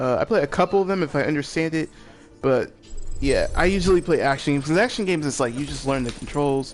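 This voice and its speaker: Over music in the background, a man talks at a very fast pace in a fairly high pitch. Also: ordinary pitch variation. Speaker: gaming streamer. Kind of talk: casual chat.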